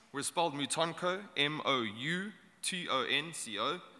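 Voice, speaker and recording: A man talks with a South African accent. His tone is bright and sharp. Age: young. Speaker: startup incubator founder. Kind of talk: short conference talk.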